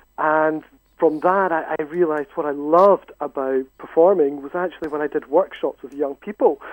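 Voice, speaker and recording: A man with a Scottish accent speaks at a moderate pace in a fairly high pitch with fairly even intonation. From Scotland. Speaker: university education lecturer. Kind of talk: radio interview.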